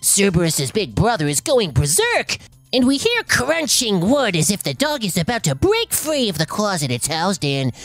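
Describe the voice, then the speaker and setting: A put-on character voice at a middle pitch, with very wide pitch swings and a moderate pace. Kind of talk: comic story reading. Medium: read story. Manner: forced stern tone, easily flustered.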